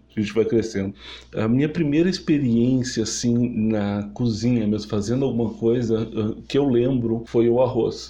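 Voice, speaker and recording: The voice has a dark, mellow tone and ordinary pitch variation at a moderate pace, with audible room echo. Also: man, medium pitch for a man. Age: 30s. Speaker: podcast host, culinary student. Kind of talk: personal storytelling monologue. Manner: halting, with fillers and repetitions.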